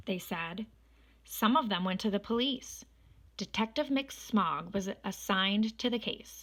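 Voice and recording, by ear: The pitch moves in an ordinary way as someone reads aloud in a natural voice.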